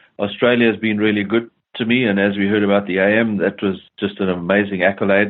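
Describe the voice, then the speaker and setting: Very fast and fairly low, a man's voice runs in a monotone, flat intonation at very even loudness. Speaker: fund manager. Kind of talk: interview. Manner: hesitant, many fillers.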